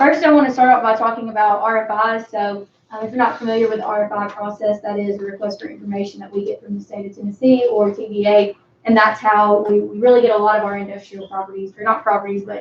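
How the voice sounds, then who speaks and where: Speaking very fast with hardly any pauses, a woman with a Southern US accent keeps a fairly high pitch and fairly even intonation while her loudness swings widely. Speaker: economic development director. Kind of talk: presentation at city board meeting. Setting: city board meeting.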